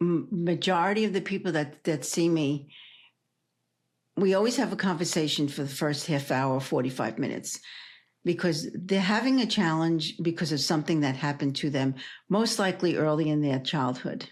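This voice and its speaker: Speaking with a New York accent, a woman with a fairly low pitch keeps a moderate pace, lively intonation, and very even loudness. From New York City (Brooklyn). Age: 70s. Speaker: energy healer and hypnotherapist. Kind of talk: interview.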